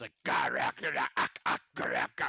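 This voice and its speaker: Putting on a raspy character voice, a man speaks at a moderate pace. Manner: growling.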